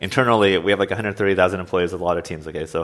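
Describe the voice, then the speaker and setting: A man with an American accent talks at a very fast pace in a very deep, low pitch with ordinary pitch variation. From US Pacific Northwest (Oregon). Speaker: software engineering manager. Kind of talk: interview.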